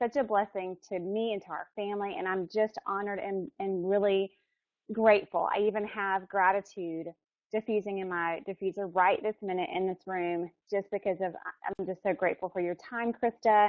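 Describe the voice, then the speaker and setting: A woman with an ordinary speaking voice speaks in an American accent at a medium pitch with ordinary pitch variation. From US South, Alabama. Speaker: webinar organizer introducing speaker. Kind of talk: introduction.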